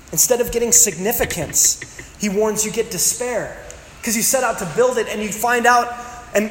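Audible room echo and noticeable background noise are present as a man speaks at a moderate pace. His pitch is extremely high, with ordinary variation. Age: 30s. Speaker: pastor. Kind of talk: sermon.

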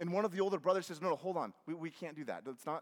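Delivered in a natural reading voice, the intonation stays fairly even.

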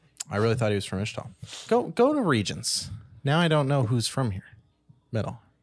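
Animated and lively in intonation, a man at a medium pitch talks at a fairly quick pace yet pauses long and often. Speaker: podcast host. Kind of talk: casual chat about games and TV. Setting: live-streamed studio. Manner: casual, profane, animated.

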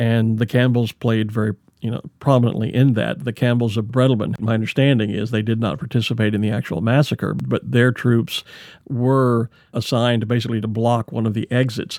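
A man's ordinary speaking voice at a medium pitch, fairly quick and fairly even in intonation, dry and close with no echo on a very clean recording with a silent background. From Texas. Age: 60s. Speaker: podcast host. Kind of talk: interview.

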